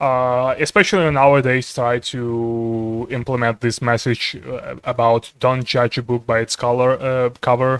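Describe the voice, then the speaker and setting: A man's rather slow delivery, medium in pitch. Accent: non-native. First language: not English. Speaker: streamer and artist. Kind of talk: casual chat. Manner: halting, many fillers.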